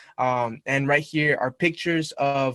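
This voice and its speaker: A man speaks with a Spanish accent at a fairly high pitch. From Mexico, moved to US at about eight. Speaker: university student club representative. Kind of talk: presentation to a club meeting. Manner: casual, with fillers.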